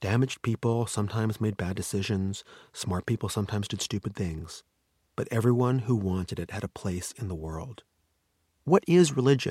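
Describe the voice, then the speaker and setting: An ordinary speaking voice, this man talks with a Canadian accent at a fairly low pitch, recorded dry and close with no echo on a very clean recording with a silent background. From Canada, Vancouver. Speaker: screenwriter and novelist. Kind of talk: interview conversation. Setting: studio.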